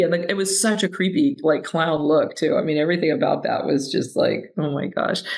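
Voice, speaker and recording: The voice has an American accent. Noticeable background noise is present. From California, San Francisco Bay Area. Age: 60s. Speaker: entrepreneur. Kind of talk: interview conversation. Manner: animated, many fillers.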